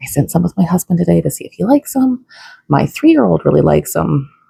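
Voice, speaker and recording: A woman whispering, with a dry, close sound and no echo. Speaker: vlogger mom. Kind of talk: casual vlog tutorial. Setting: home kitchen. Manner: casual with fillers.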